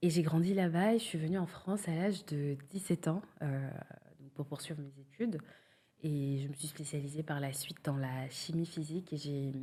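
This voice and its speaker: A woman's very deep, low voice, somewhat breathy and dark, mellow in tone, with big swings in loudness. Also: ordinary pitch variation, moderate pace. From Senegal. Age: 30s. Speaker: cosmetics brand founder. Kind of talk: podcast interview. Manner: hesitant, many fillers.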